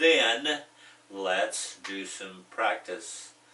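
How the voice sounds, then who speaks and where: Noticeable background noise sits behind a man with an American accent. He talks at a very slow pace in a fairly low pitch. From United States. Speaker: ESL teacher. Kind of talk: tutorial. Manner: slow and repetitive.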